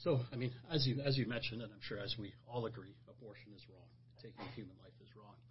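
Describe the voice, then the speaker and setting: Very fast and somewhat breathy, a man's medium-pitched voice keeps fairly even intonation but shows big swings in loudness. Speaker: pastor. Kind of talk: religious discussion podcast. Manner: halting, repeats words.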